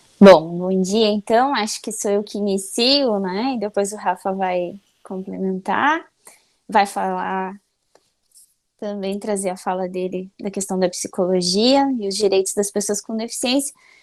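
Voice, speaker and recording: The recording is very clean, with a silent background. It features an unremarkable speaking voice at a fairly slow pace and ordinary pitch variation. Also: woman, medium pitch for a woman. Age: 30s. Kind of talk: conference talk.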